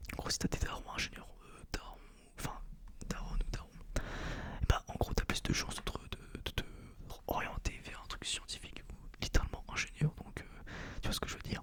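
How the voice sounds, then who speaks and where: A man whispering at a moderate pace, with long, frequent pauses, big swings in loudness and noticeable background noise. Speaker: engineering school student and ASMR creator. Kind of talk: casual rambling monologue to camera. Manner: whispered, soft-spoken.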